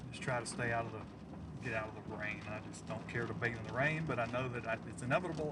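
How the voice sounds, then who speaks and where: Speaking very fast with an American accent, a man at medium pitch keeps a fairly even intonation amid noticeable background noise and audible room echo. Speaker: storm chaser livestreamer. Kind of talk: live stream chat and commentary. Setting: in a truck. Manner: fast, stumbling at times.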